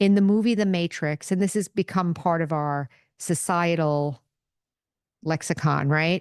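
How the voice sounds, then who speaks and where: Against a quiet background, a woman talks at a fairly slow pace in an ordinary speaking voice. Her fairly low pitch shows ordinary variation, and the sound is dry and close with no echo. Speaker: podcast host and meditation teacher. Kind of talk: spiritual teaching talk. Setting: podcast recording.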